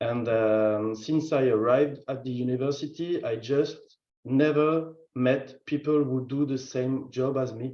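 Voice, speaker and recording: Fairly slow speech with a French accent and fairly even intonation, with audible room echo. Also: man, medium pitch for a man. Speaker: field station manager. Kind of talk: virtual conference introduction. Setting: video call.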